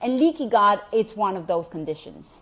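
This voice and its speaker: In a Venezuelan accent, a woman speaks at a moderate pace. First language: Spanish. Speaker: health coach vlogger. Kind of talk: casual vlog talk to viewers. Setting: at home.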